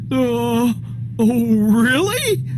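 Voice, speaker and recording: Over loud background noise, a man performs a cartoonish character voice. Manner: hesitant, full of filler sounds.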